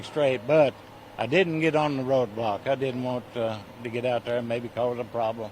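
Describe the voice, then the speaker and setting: A man with an American accent talks at a moderate pace with ordinary pitch variation. Background noise is noticeable. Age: 80s+. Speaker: volunteer firefighter fundraiser. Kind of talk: reading aloud donor list; casual interview. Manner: halting, stammering.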